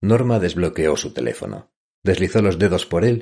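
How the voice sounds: Against a quiet background, a natural reading voice moves with ordinary pitch variation.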